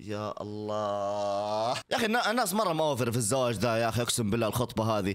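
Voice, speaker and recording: At a moderate pace, a man talks in an animated tone. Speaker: content creator reacting to TikTok videos. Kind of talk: casual reaction video. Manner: loud. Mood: playful, joking. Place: home room. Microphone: studio mic.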